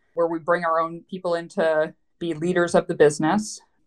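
A woman speaks at a moderate pace with a Western Canadian accent. Her pitch is fairly low. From Canada, Vancouver. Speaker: private equity investor. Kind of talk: interview.

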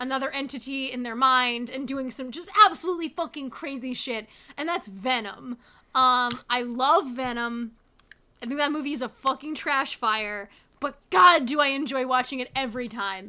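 At a moderate pace, this raised, projected voice carries a bright, sharp tone with ordinary pitch variation. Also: woman, high pitch for a woman. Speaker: podcast host. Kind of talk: casual comedy podcast chat.

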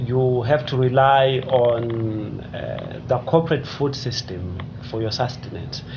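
A very slow pace over noticeable background noise. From South Africa, KwaZulu-Natal (Richmond). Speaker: development studies lecturer. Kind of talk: interview. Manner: halting, repeats words.

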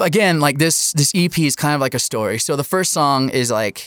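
A man with an ordinary speaking voice and ordinary pitch variation is captured in a very clean recording with a silent background. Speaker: fiddle player and composer. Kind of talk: casual interview chat.

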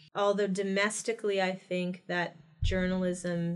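Music plays in the background. The speaker has an American accent and a flat, monotone intonation. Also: woman. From US Midwest, Ohio. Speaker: podcast co-host, academic commentator. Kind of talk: casual political discussion.

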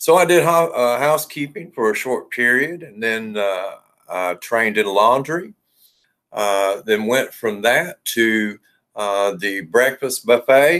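In a normal speaking voice, a man talks at a fairly slow pace with medium pitch and ordinary pitch variation on a very clean recording with a silent background. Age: 50s. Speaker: hotel general manager. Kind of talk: interview.

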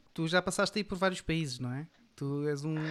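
A woman's plain, everyday voice, fairly low in pitch and fairly slow, on a very clean recording with a silent background. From Portugal, Amadora (Lisbon area). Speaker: podcast co-host. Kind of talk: casual chat.

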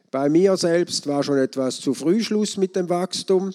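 A man speaks at a fairly slow pace in a dark, mellow tone. The sound is dry and close with no echo, on a very clean recording with a silent background. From Switzerland, St. Gallen. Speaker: economics professor. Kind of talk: lecture.

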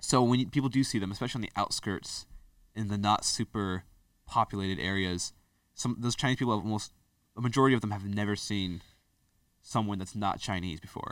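Pitched fairly low, a man speaks at a fairly quick pace with ordinary pitch variation. He takes long, frequent pauses on a very clean recording with a silent background. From US, partly raised in China. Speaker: podcast guest. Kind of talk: casual chat.

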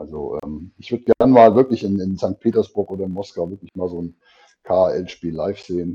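Dark and mellow in tone, a man's very deep, low voice moves at a moderate pace with ordinary pitch variation. The sound is dry and close with no echo. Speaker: podcast host. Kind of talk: casual podcast chat. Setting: remote call from work. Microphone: poor audio quality.

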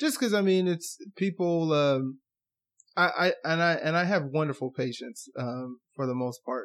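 With an American accent and an unremarkable speaking voice, a man talks fairly slowly at a fairly high pitch, using lively intonation over a quiet background. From United States. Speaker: dentist. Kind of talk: casual chat.

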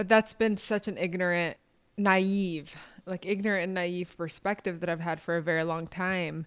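In a very clean recording with a silent background, a woman speaks at a moderate pace in a fairly low pitch with monotone, flat intonation. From Palestine (West Bank). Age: 20s. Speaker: podcast co-host. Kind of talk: casual chat.

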